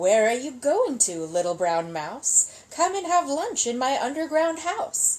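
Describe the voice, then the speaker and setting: A woman uses a put-on character voice, high in pitch with very wide pitch swings. She goes at a fairly slow pace. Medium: read story.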